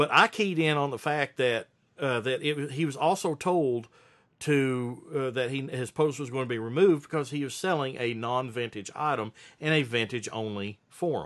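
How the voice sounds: On a very clean recording with a silent background, a man speaks with a fairly bright tone. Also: medium pitch for a man, ordinary pitch variation, moderate pace.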